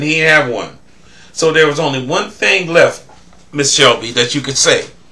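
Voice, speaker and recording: At a moderate pace, a man with a fairly high pitch speaks over noticeable background noise. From US South. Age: 60s. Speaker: vlogger. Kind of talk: commentary monologue.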